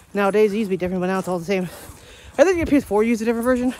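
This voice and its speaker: A man at a very fast pace, ordinary pitch variation, dry sound with no echo. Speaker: vlogger. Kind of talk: casual vlog chat. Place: garden. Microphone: phone near.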